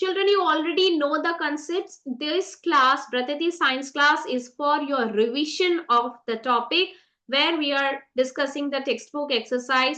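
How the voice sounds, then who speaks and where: A woman speaks in a raised, projected voice with a high pitch and a bright, sharp tone. Her pace is moderate, and the background is quiet. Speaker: science teacher. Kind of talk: online revision lecture.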